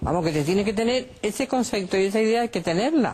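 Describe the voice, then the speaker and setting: A woman with a dark, mellow tone. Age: 70s. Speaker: mother of thirteen, wife of a football club owner. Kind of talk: interview. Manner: halting, many fillers and restarts.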